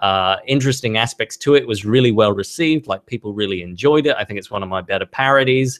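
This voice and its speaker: A medium-pitched man with an Australian accent, talking very fast with hardly any pauses. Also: ordinary pitch variation. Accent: mild Australian, taken for British by viewers. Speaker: YouTube creator of toy train parody videos. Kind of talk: live stream Q&A. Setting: live stream. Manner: hesitant, many fillers.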